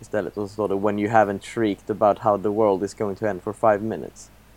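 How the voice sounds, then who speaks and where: Monotone, flat intonation in a fairly low-pitched male voice. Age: 20s. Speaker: podcast co-host. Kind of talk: casual chat.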